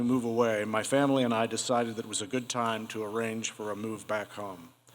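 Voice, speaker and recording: Talking at a very fast pace with hardly any pauses, a man with a Midwestern American accent keeps a medium pitch and fairly even intonation. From Ohio, Cincinnati. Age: 60s. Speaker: Parkinson's patient, wine store owner. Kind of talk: prepared talk to an audience.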